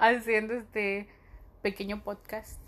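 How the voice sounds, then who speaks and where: Very slowly, a woman says her words. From Honduras. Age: 30s. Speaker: podcast host, medical student. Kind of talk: casual solo monologue.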